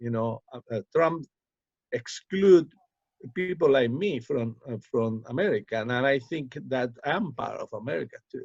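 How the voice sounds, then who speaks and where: In a Cuban accent, a man speaks fairly slowly with lively intonation and a fairly high pitch, the sound dry and close with no echo. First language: Spanish. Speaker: poet. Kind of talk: interview. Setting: video call. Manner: halting.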